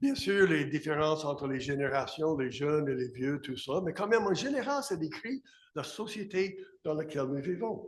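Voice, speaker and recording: Lively intonation marks a man with an English accent who speaks at a moderate pace amid audible room echo. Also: fairly high pitch for a man. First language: English (speaking French). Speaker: pastor. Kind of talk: sermon.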